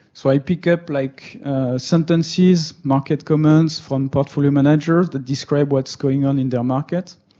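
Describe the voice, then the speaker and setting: Here a man with a French accent speaks at a moderate pace in a dark, mellow tone. His pitch is fairly high and his intonation fairly even. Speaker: meetup speaker on machine learning. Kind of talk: technical talk. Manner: hesitant, many fillers.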